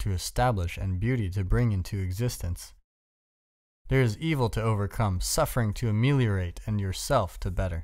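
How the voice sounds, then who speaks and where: The recording is very clean, with a silent background. A man with a normal speaking voice and a fairly low pitch speaks at a fairly quick pace, with ordinary pitch variation. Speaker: audiobook narrator. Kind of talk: audiobook reading of a self-help essay, earnest and direct address to the listener. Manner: measured, earnest, instructive.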